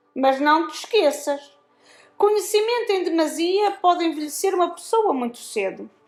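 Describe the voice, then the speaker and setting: Over music in the background, a woman does a put-on character voice that is nasal and shrill, extremely high in pitch, at a moderate pace. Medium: read story. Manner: sarcastic, harsh.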